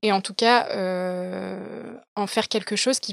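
A woman speaking in a monotone, flat intonation, with dry, close sound and no echo. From Paris, France. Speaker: podcaster and business operations manager. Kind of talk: casual interview chat. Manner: halting, many fillers and restarts.

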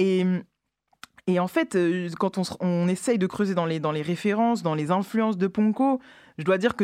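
On a very clean recording with a silent background, a woman talks at a fairly quick pace in a fairly low pitch. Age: 30s. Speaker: radio show host. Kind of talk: radio show presenting. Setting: radio studio. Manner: halting, many repetitions.

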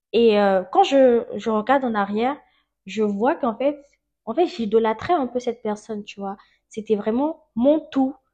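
A woman with a normal speaking voice, fairly high in pitch, lively in intonation, at a fairly slow pace with big swings in loudness. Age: 20s. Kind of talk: testimony. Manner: casual, laughs often.

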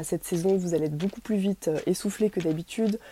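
A woman's fairly low, dark, mellow voice at a very fast pace, dry and close with no echo, in a very clean recording with a silent background. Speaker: dietitian. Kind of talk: tutorial.

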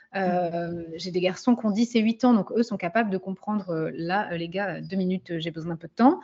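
A somewhat breathy woman at a moderate pace, medium pitch with ordinary pitch variation. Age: 30s. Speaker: business coach for women. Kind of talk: casual chat.

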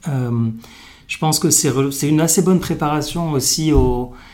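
A man is speaking. Audible echo fills the room. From Morocco. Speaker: venture capital investor. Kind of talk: interview. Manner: halting, many fillers.

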